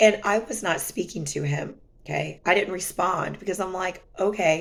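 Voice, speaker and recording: A woman speaks at a moderate pace with ordinary pitch variation and some vocal fry. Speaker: vlogger sharing personal relationship experiences. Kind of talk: casual storytelling vlog.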